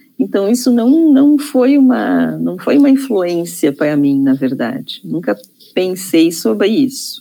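Using very wide pitch swings, a woman with a dark, mellow tone speaks at a fairly slow pace. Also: medium pitch for a woman. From Rio Grande do Sul, Brazil (Taquari). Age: 50s. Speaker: psychologist and feminist activist. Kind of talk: interview conversation. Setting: studio. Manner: halting, many repetitions and fillers.

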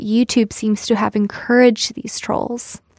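A normal speaking voice from a woman, fairly high in pitch, at a moderate pace. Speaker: news podcast host. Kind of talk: news reading, scripted news briefing. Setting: studio. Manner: brisk, clear, even-toned.

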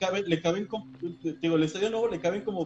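High pitch from a man, its variation ordinary. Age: 20s. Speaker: podcast co-host. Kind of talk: casual chat.

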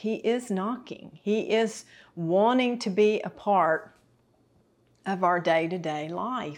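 Over a quiet background, a woman speaks slowly-ish at a fairly slow pace in a Southern US accent, her medium pitch carried by lively intonation. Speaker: TV Bible teacher. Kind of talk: sermon. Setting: kitchen set.

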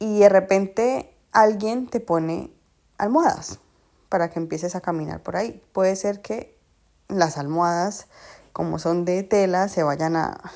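On a very clean recording with a silent background, a woman with a fairly low voice speaks at a moderate pace with ordinary pitch variation. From Colombia, Cali. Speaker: podcast host. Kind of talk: casual monologue. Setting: at home on the sofa. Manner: chatty, talks nonstop.

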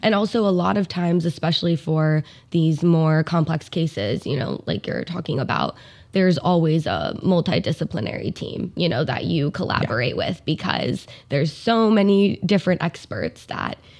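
A woman speaks in an ordinary speaking voice, fairly low-pitched for a woman, with lively intonation at a moderate pace on a very clean recording with a silent background. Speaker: speech therapist. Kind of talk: casual interview.

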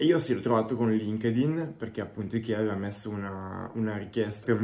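A man speaks very fast in a dark, mellow tone at fairly low pitch. His intonation is fairly even, and audible room echo surrounds the voice. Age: 20s. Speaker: product designer. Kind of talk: interview.

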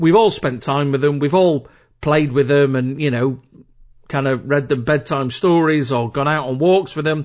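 At a medium speed, a man uses a normal speaking voice pitched fairly high, his pitch shifting in an ordinary way. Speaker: podcast host. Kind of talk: casual solo podcast monologue. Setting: home recording. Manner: chatty, informal.

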